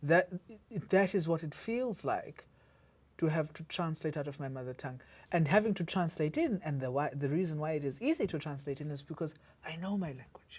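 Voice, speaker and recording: On a very clean recording with a silent background, someone with a South African accent talks at a fairly quick pace. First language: isiZulu. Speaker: podcast host, academic. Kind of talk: interview conversation. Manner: halting with repetitions.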